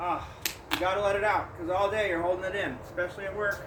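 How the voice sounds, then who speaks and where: In an American accent, a man speaks loudly with audible room echo. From Southern California. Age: 50s. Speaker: vlogger. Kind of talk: casual vlog talk.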